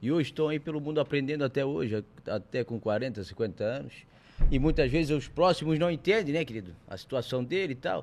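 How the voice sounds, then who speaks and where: Vocal fry runs through a man's fairly high voice as he talks at a fairly quick pace with lively intonation. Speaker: podcast host. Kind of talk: casual interview.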